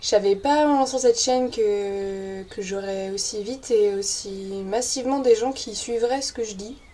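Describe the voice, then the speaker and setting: A woman speaks with fairly even intonation. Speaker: YouTuber on witchcraft and paganism. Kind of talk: casual vlog. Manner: spontaneous, many hesitations.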